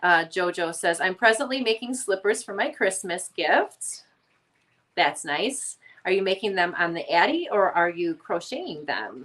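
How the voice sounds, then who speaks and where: Speaking at a fairly slow pace, a woman with an American accent uses lively intonation at a medium pitch. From Northwest Indiana / Chicago area, US Midwest. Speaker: crochet YouTuber. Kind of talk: casual livestream chat. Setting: home kitchen, livestream.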